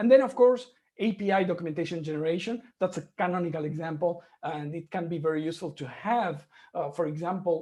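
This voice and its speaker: The speech comes at a very fast pace. The speaker has a non-native accent. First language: not English. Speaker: conference speaker, software engineer. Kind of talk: conference talk.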